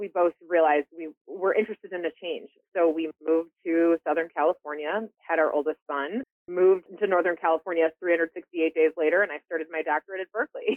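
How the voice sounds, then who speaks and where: With an American accent, this speaker keeps the intonation fairly even. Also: woman, fairly low pitch for a woman. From US Midwest, Chicago. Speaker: public health executive. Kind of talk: interview. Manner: halting, many fillers and repeats.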